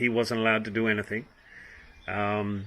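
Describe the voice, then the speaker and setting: In an Australian accent, the voice has a bright, sharp tone and a moderate pace. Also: man. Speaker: vlogger. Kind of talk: opinion monologue. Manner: hesitant, many ums.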